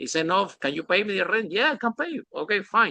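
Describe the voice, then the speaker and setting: Talking at a fairly quick pace, a man with a Spanish accent has a bright, sharp tone in a dry, close sound with no echo. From Spain. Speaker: podcast host. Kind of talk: interview.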